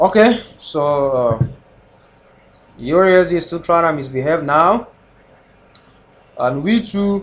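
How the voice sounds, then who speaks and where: Lively intonation marks this man's speech, delivered with a non-native accent. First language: not English. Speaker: forex trader live streamer. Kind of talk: live trading stream chat. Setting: live stream. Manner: casual, hesitant.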